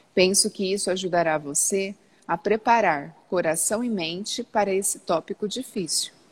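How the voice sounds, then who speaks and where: A woman talks at a moderate pace in a medium-pitched voice with ordinary pitch variation. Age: 40s. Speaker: live stream host. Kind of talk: reading aloud; casual chat. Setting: outdoors by the sea.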